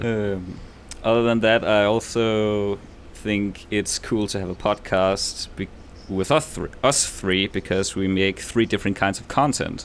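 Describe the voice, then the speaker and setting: A man speaks with a Danish accent at a fairly slow pace. His voice is fairly low, with fairly even intonation. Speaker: podcast host and YouTube creator. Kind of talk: casual chat.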